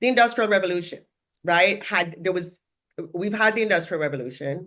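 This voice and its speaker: Against a quiet background, a woman talks very fast in an animated tone, her pitch swinging very widely. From Jamaica. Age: 60s. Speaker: coach and social work academic. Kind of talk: casual chat. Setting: live stream.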